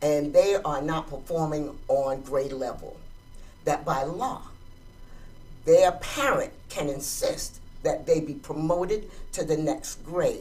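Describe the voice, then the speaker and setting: The speaker goes at a very slow pace with long, frequent pauses. Music plays in the background. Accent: American. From Georgia, US South. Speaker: interviewer, life coach. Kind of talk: interview.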